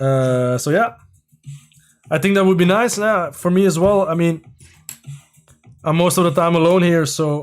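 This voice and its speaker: A man with a Flemish Belgian accent speaks at a moderate pace and high pitch, with ordinary pitch variation and very even loudness. Long, frequent pauses break his speech as music plays in the background. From Belgium, near Brussels (Leuven area). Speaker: LEGO builder and streamer, former TV contestant. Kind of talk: live stream chat while building. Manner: hesitant, many fillers.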